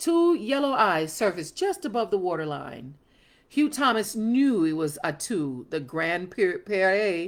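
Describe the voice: The speaker reads aloud plainly.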